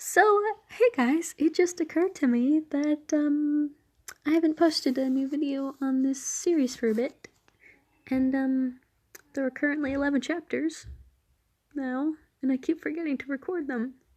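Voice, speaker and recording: A soft-spoken woman with a high voice talks at a moderate pace, with ordinary pitch variation and long, frequent pauses. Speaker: fanfiction reader. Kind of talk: casual chat. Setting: at home at night. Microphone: quiet, poor audio quality.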